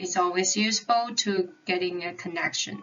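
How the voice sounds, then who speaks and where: Over noticeable background noise, a woman with a non-native accent speaks at a medium pitch. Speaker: psychology consultant lecturing medical students. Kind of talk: lecture. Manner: halting.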